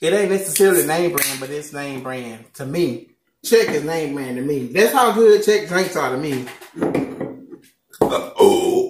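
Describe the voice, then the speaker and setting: The speaker has a Southern US accent and a fairly slow pace. The intonation is lively, and the loudness swings widely. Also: man, high pitch for a man. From Southern United States. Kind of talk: casual mukbang talk to camera. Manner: upbeat, chatty.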